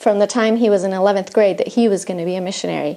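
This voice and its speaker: Speaking with fairly even intonation, a woman uses a medium pitch and has a Spanish accent. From Argentina. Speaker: missionary. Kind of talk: testimony. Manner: halting, with fillers.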